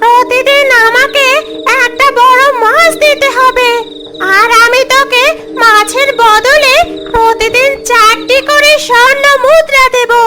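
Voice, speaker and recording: A cartoonish character voice that sounds female, extremely high in pitch and very slow, plays over clear music in the background. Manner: gruff, domineering, addresses with তুই.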